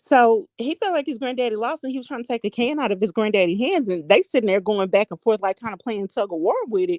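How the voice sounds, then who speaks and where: An animated tone at a very fast pace with hardly any pauses. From US South. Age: 40s. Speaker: vlogger. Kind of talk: casual chat.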